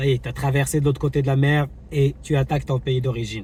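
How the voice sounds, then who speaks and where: A man talks at a medium pitch with flat, monotone intonation. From Morocco, Casablanca. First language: Moroccan Arabic (speaking French). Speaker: YouTuber, travel vlogger. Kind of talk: commentary vlog. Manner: hesitant, many fillers.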